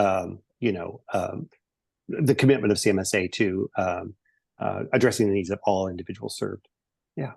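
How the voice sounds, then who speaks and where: A man with a Pacific Northwest accent and a fairly low pitch, with long, frequent pauses, in dry, close sound with no echo. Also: ordinary pitch variation. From eastern Washington State. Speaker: presenter on case management and health equity. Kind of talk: webinar presentation and Q&A. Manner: fast; many fillers (um, uh).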